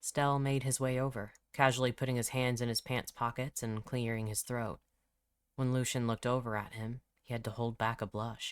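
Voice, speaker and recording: A man speaks at a medium pitch and moderate pace in a flat, monotone way, recorded very cleanly with a silent background. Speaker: author narrating own audiobook. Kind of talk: audiobook fiction narration.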